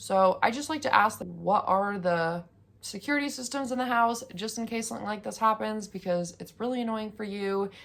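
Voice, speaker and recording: Pitched fairly high, a woman with an unremarkable speaking voice talks at a moderate pace with ordinary pitch variation. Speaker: YouTuber, house sitter. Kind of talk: casual vlog tutorial.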